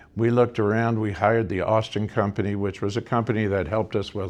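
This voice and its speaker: A man with an American accent speaks in a fairly low voice. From US Northeast, suburban Philadelphia. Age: 70s. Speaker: school board candidate. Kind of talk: campaign talk at meet and greet. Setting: party headquarters meeting room. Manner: hesitant, many fillers.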